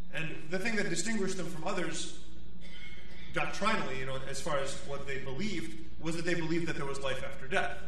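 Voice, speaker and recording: A man with a high pitch and ordinary pitch variation talks at a moderate pace. Light background noise and audible room echo are present. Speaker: priest. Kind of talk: sermon. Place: church. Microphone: podium.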